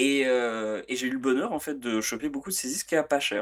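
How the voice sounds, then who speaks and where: A man at medium pitch with ordinary pitch variation, on a very clean recording with a silent background. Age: 40s. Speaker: music podcast co-host. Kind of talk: casual chat. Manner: hesitant, many fillers.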